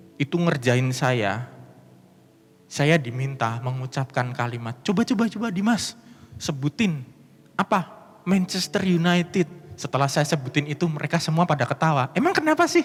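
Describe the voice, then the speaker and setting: With a strong Javanese accent, a man talks at a moderate pace in a fairly high, somewhat breathy voice. His intonation is lively. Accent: strong Javanese (medok). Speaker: pastor. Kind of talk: sermon.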